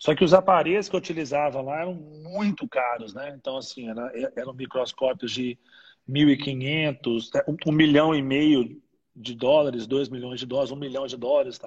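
Somewhat breathy and fairly high for a man, his voice moves at a moderate pace with ordinary pitch variation and big swings in loudness. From Brazil, Minas Gerais (Ipatinga). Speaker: dentist and university research scientist. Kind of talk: interview on a live stream. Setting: online live broadcast. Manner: halting, many repeated fillers.

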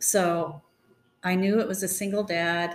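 A woman speaks with an American accent at a fairly low pitch, showing ordinary pitch variation. Vocal fry runs through her voice. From Northern California. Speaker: pastor's wife. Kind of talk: storytelling.

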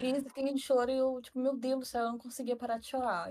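Her voice is high. The woman talks at a moderate tempo. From northern Brazil, Tocantins (Araguaína). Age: 20s. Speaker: psychology student. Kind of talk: casual chat.

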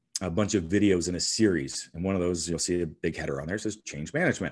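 A man talks with a very deep, low pitch and ordinary pitch variation. The background is quiet. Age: 40s. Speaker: strength athlete and author. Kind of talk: interview. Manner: hesitant, many fillers.

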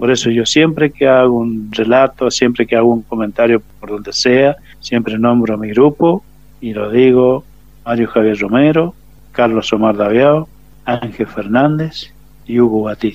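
A man talks at a fairly slow pace in a normal speaking voice, medium in pitch, with fairly even intonation. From Argentina, San Rafael, Mendoza. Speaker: war veteran. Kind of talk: testimony. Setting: phone call.

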